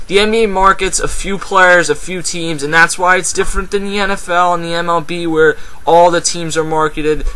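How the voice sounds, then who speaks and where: Against noticeable background noise, a high-pitched man with an American accent talks at a fairly quick pace with hardly any pauses. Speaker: sports commentator vlogger. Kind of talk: casual sports commentary vlog. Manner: fast; animated.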